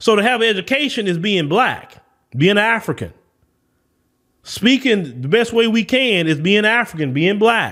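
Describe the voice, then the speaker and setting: A man with a Southern US accent and a high pitch talks at a fairly slow pace. His tone is animated, his intonation lively, and his loudness very even. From US South. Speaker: podcast host. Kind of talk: opinion commentary.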